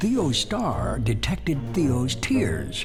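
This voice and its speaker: A man's voice with music in the background. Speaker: narrator. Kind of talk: rhyming children's story narration.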